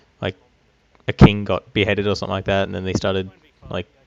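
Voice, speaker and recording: Here a man speaks with an Australian accent at a fairly low pitch. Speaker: gaming YouTuber. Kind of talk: casual commentary over gameplay. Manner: hesitant, many fillers.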